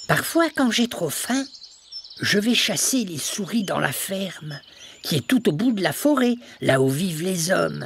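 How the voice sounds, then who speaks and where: In a put-on character voice at a middle pitch, the speaker goes at a moderate pace with very wide pitch swings and long, frequent pauses. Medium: read story.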